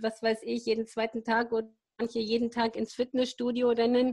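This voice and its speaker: The recording is very clean, with a silent background. A woman with a normal speaking voice and a fairly high pitch talks at a fairly slow pace. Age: 50s. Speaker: sustainability practitioner, mother of four. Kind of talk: interview.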